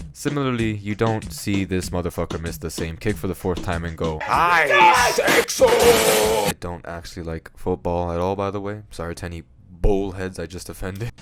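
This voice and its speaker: Music plays in the background as a man speaks with a very deep, low pitch. He keeps a moderate pace with hardly any pauses and ordinary pitch variation. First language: Spanish. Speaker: comedy YouTuber. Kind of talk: comedic scripted monologue. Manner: casual, joking.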